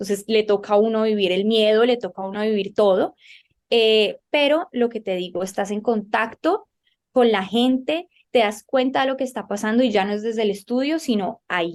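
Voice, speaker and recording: At a moderate pace, a woman with an unremarkable speaking voice talks in a fairly high pitch with ordinary pitch variation. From Colombia. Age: young. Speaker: journalist and TV presenter. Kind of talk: interview.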